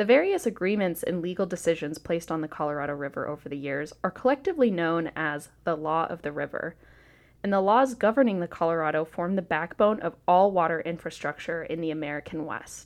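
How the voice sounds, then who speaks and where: A woman with a plain, everyday voice talks at a fairly quick pace, with a fairly low pitch and ordinary pitch variation. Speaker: narrator. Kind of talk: history documentary narration. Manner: measured, formal, even-paced; clear, polished, informative.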